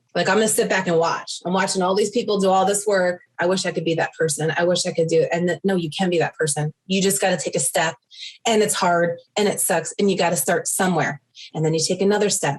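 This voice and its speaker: Talking at a very fast pace with an animated tone, a woman with a New York accent keeps a medium pitch and very even loudness. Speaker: yoga business owner, former client. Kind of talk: interview testimony.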